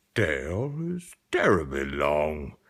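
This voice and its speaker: A man puts on a character voice. He speaks very slowly at a very deep, low pitch. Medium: read story.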